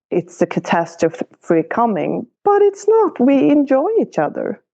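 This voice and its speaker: A dark, mellow voice with a non-native accent, very wide pitch swings and very even loudness, at a fairly slow pace, in a dry, close sound with no echo. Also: woman, high pitch for a woman. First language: not English. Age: 40s. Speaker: podcast guest sharing relationship story. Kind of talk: coaching conversation.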